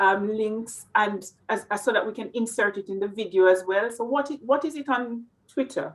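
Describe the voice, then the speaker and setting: A woman with a Jamaican accent talks at a moderate pace, her fairly high pitch moving with ordinary variation. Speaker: interviewer. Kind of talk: interview.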